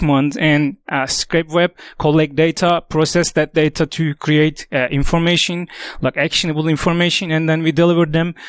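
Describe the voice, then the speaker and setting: Speaking with a non-native accent at a moderate pace, a man uses a fairly high pitch and a flat, monotone delivery. The sound is dry and close with no echo, on a very clean recording with a silent background. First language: not English. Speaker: tech company executive. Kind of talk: conference talk. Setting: stage with audience. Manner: halting, many fillers.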